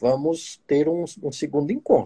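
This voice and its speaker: At a very slow pace, a man speaks in a dark, mellow tone with a dry, close sound with no echo. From Minas Gerais, Brazil. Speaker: proctologist and podcast host. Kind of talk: live stream interview. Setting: online live stream.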